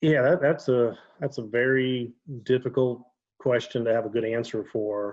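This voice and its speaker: The speaker has an Ohio accent and fairly even intonation. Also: man. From Ohio, Dayton area. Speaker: former police officer, fraud investigator. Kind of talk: casual chat.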